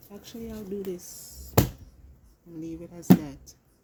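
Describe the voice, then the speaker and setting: Noticeable background noise sits under this woman's voice. She speaks fairly slowly in an animated tone. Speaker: tarot card reader. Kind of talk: tarot reading. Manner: casual, animated.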